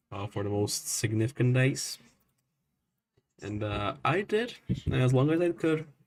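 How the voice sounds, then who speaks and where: A man with a non-native accent speaks at a fairly slow pace with long, frequent pauses. His voice is somewhat breathy and medium in pitch, with lively intonation. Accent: non-native, self-noted pronunciation issues. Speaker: storm nowcasting streamer. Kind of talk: live weather commentary. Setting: live stream. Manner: halting, many fillers.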